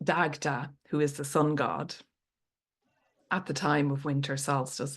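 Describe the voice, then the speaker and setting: With an Irish accent, a woman speaks at a very deep, low pitch and with fairly even intonation against a quiet background. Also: fairly slow pace. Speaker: storyteller. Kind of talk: podcast interview answer.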